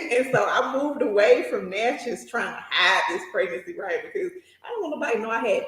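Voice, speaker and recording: Animated in tone, a woman speaks at a fairly quick pace. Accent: Southern US. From US South, small town in south Mississippi. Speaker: nurse and journal entrepreneur. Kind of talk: casual interview chat, personal storytelling.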